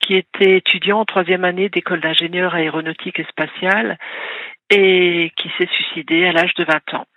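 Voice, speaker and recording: A woman's fairly low voice in a monotone, flat intonation. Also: moderate pace. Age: 60s. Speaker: caller, bereaved mother and author. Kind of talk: radio call-in testimony. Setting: phone call to radio.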